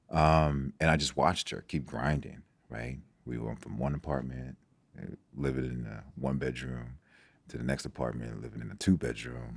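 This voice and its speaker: Here a man with a very deep, low pitch talks at a moderate pace, his intonation fairly even but his loudness swinging widely. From Nigeria, moved to US as a child. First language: Igbo. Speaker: sports doctor. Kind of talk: podcast interview. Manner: halting, with frequent fillers and repetitions.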